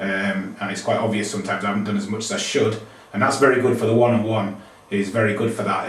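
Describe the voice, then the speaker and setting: Through audible room echo and noticeable background noise, a man talks at a very fast pace with fairly low pitch. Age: 40s. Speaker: yoga student. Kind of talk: testimony.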